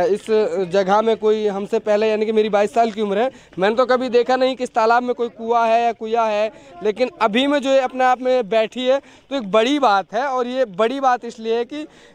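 Intonation stays fairly even. The sound is dry, with no echo. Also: man, extremely high pitch for a man, moderate pace. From Mewat, Haryana (India); Haryana, India. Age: 20s. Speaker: local news reporter. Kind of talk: field report. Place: open country. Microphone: handheld.

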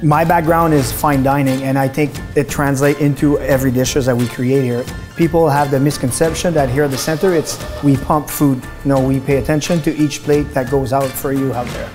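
Over clear music in the background, a man talks at a fairly quick pace with monotone, flat intonation. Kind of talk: promotional interview. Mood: proud, warm. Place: kitchen. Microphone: lapel.

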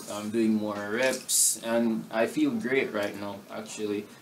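Light background noise sits under this recording. A man speaks at a fairly slow pace with ordinary pitch variation. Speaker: footballer vlogger. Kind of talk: casual vlog chat. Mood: upbeat recovery update. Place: home room. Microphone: camera far.

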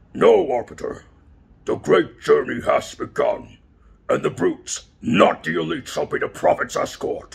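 Putting on a character voice at an extremely high pitch, a man speaks at a moderate pace. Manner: menacing, threatening.

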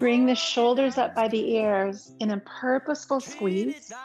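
Clear music plays in the background. A woman speaks at a fairly slow pace with ordinary pitch variation. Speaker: yoga instructor. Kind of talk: guided class instruction. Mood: calm, slow, soothing. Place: home room.

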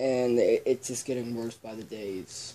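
A man speaks quietly at a fairly slow pace. His pitch is medium, with light background noise behind him. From Ireland. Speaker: YouTuber. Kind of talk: casual vlog. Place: home room. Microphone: camera far.

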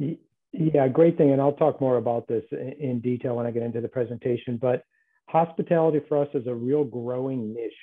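Against a quiet background, a man with a plain, everyday voice speaks at a fairly quick pace, his medium pitch following fairly even intonation. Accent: American. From US Midwest, Chicago. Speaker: telecom sales presenter; presenter. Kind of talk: webinar presentation. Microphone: earbuds.

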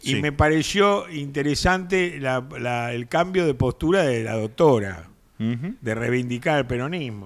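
The background stays quiet. Against it, a man talks fairly slowly. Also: lively intonation. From Argentina. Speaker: political commentator; talk show panelist. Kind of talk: casual chat. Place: studio. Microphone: studio mic.

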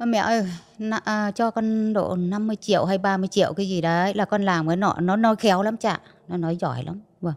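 A woman's medium-pitched, normal speaking voice at a moderate pace with ordinary pitch variation. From northern Vietnam, Bắc Giang. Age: 50s. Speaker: trafficking survivor. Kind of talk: testimony.

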